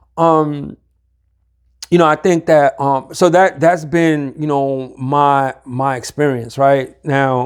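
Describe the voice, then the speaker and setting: At a very slow pace, a man with a New York accent speaks at a fairly high pitch with fairly even intonation. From Harlem, New York. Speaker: recovery community leader. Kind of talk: interview answer. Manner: casual, halting.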